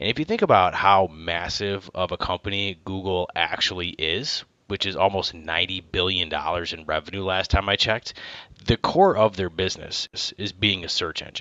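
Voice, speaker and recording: A man with a Wisconsin accent, very deep and low in pitch, at a moderate pace with fairly even intonation. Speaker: marketing executive. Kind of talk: conference talk.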